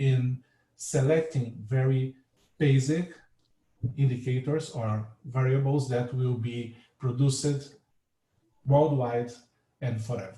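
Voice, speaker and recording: A somewhat breathy, dark, mellow voice with a Portuguese accent, fairly even intonation and a fairly slow pace. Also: man. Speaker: marine scientist. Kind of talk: lecture. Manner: halting.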